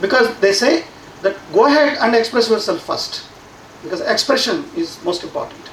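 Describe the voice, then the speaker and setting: With a Telugu accent, a man speaks at an extremely high pitch with very wide pitch swings, amid noticeable background noise and audible room echo. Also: moderate pace. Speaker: science education professor. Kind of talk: conference talk. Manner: halting, many fillers and repeats.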